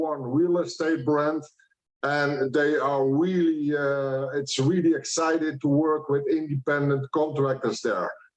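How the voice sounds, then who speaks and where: In a Dutch accent, a man speaks at a fairly slow pace. His pitch is fairly high and his intonation is monotone and flat. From Netherlands. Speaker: franchise businessman, ex-army officer. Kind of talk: conference presentation.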